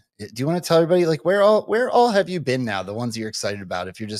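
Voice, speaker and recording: On a very clean recording with a silent background, a man with an American accent talks very fast, his pitch swinging very widely. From Delaware County, Pennsylvania. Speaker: show host. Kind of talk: casual chat.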